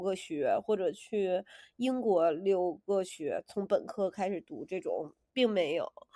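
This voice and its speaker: A woman's dark, mellow voice at a very slow pace, with very wide pitch swings. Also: very clean recording, silent background. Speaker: podcast co-host. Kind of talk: casual chat.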